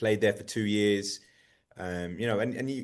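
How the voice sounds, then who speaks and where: A man talks very fast with an English accent. The background is quiet. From England, Birmingham. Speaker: soccer coach. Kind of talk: radio interview.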